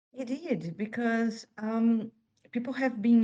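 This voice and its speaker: With a Portuguese accent, a woman speaks at a very slow pace. Her tone is dark and mellow, and somewhat breathy. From Brazil. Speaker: author. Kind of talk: interview. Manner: hesitant, many fillers.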